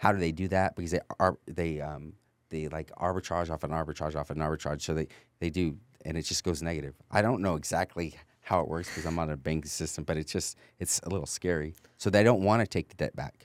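A man with an American accent, very deep, low pitch and fairly even intonation, at a very fast pace, in a dry, close sound with no echo and a very clean recording with a silent background. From California. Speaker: real estate investor. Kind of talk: casual interview.

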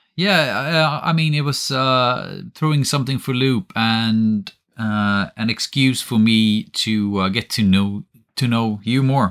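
A speaker with a Swedish accent talks at a fairly slow pace, with ordinary pitch variation. The loudness stays very even throughout. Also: man. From Sweden. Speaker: podcast co-host, miniature painter. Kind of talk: casual chat.

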